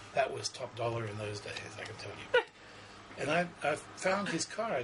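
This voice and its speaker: A man at a moderate pace in an Australian accent, with noticeable background noise. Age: 60s. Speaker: psychic. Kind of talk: interview. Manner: halting.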